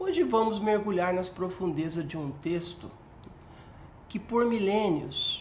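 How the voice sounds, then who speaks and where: A woman speaks very slowly with ordinary pitch variation. Room echo is audible and background noise is noticeable. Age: 60s. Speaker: retired police colonel and researcher. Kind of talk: educational talk.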